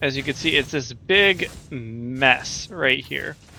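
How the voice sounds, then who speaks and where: Speaking quietly and at a very slow pace, a man uses a fairly high pitch. His tone is bright and sharp. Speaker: gaming video creator. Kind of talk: gameplay commentary. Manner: quieter, laid back.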